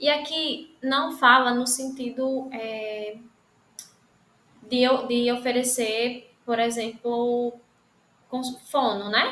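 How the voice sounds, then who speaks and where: Speaking very slowly with long, frequent pauses, a woman uses a high, bright, sharp voice in a monotone, flat intonation, and audible room echo surrounds her. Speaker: lecturer. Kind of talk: online lecture.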